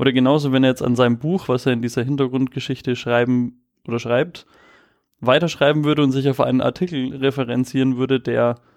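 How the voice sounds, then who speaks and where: A man talks fairly quickly, his medium-pitched voice moving in fairly even intonation. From Nuremberg, Franconia. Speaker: podcast co-host. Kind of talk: casual storytelling chat.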